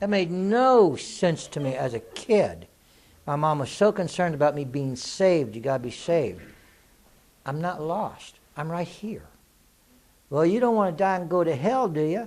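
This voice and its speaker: Speaking at a moderate pace with lively intonation, a man with a high-pitched voice leaves long, frequent pauses. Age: 60s. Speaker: spiritual author and teacher, war veteran. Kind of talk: Q&A talk to an audience. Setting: live Q&A event with audience. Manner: casual, conversational.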